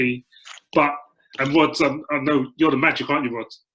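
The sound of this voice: The voice carries a slightly husky edge and ordinary pitch variation. It moves at a fairly quick pace. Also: man.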